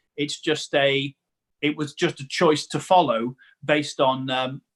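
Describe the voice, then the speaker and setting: A man's fairly high voice with fairly even intonation, in a dry, close sound with no echo. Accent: Staffordshire. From English Midlands, Newcastle-under-Lyme, Staffordshire. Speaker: comedian and preacher. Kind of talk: casual interview chat.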